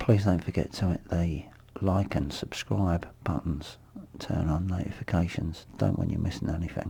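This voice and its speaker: Speaking at a moderate pace, a man with a very deep, low voice sounds somewhat breathy and dark and mellow in tone, with ordinary pitch variation. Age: 50s. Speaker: vlogger, abuse survivor. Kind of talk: personal monologue vlog. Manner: halting.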